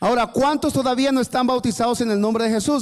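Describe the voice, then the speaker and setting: A man talks with ordinary pitch variation. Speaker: preacher. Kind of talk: sermon. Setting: church service.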